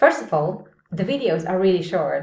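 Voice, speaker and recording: In a medium-pitched voice, a woman with a non-native accent talks at a moderate pace. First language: not English. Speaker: English teacher. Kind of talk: video tutorial. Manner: casual, conversational.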